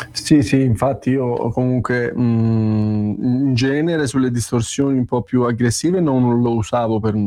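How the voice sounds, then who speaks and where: Noticeable background noise sits behind a man at medium pitch. He speaks at a fairly slow pace with fairly even intonation and very even loudness. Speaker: guitarist asking questions. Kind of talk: casual chat.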